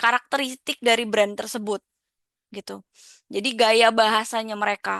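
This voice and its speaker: Against a quiet background, a woman with a bright, sharp tone and fairly high pitch speaks at a moderate pace in a monotone, flat intonation, the sound dry and close with no echo. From Indonesia, Jakarta. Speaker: lecturer. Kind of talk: lecture. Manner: halting, many fillers.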